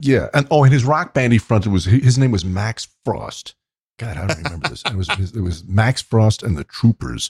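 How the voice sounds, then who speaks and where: A somewhat breathy man with lively intonation at a moderate pace, the sound dry and close with no echo. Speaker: podcast co-host. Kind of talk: casual chat.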